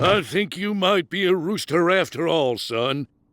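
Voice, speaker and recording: Raspy and high-pitched, a man's cartoonish character voice moves at a moderate pace on a very clean recording with a silent background. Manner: repeats phrases, blustery.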